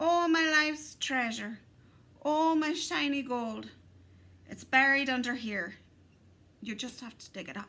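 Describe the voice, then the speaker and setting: In a squeaky, high-pitched put-on character voice, a woman talks at a moderate pace with long, frequent pauses. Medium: read story. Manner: sly, wheedling.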